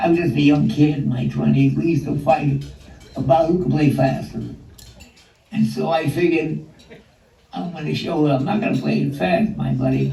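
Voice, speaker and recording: A man with long, frequent pauses amid noticeable background noise. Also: moderate pace. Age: 80s+. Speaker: jazz vibraphonist. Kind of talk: interview answer. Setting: video call. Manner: sharp, witty.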